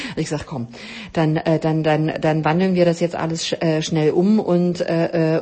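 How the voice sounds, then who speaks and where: Noticeable background noise surrounds a woman's voice. She speaks at a moderate pace with a fairly low pitch. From East Germany. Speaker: podcast host, health coach. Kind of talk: solo podcast talk. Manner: many filler sounds.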